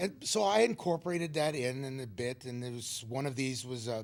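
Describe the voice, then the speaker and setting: This man has an unremarkable speaking voice. He talks at a moderate pace with ordinary pitch variation. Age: 60s. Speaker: stand-up comedian. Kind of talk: talk show interview.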